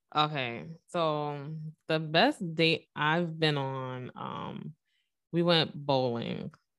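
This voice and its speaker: Speaking in a New York accent, a woman has a very deep, low voice. She goes at a very slow pace against a quiet background. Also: ordinary pitch variation. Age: 20s. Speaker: makeup artist and single mother. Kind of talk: casual chat.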